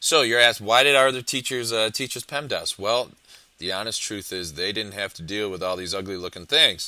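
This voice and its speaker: In a dry, close sound with no echo, a man talks at a fairly quick pace with an animated, bright and sharp tone. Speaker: high school math teacher. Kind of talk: video lesson. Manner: fast.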